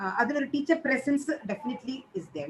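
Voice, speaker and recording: Speaking with a Keralan accent, a woman keeps a moderate pace. Her intonation is lively. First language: Malayalam. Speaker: teacher trainer. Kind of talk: feedback session.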